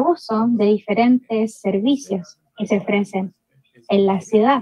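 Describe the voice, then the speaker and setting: At a very slow pace, a woman with fairly high pitch and ordinary pitch variation sounds somewhat breathy in a dry recording with no echo. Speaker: academic presenter; presenter. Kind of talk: conference presentation. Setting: video call. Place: home room. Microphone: video call.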